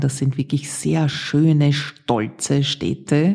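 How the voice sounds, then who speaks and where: Very slow and somewhat breathy, a woman with an Austrian accent speaks in a very deep, low pitch with a dark, mellow tone and ordinary pitch variation. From Austria, Vienna. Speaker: podcast host, former radio presenter. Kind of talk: personal storytelling monologue.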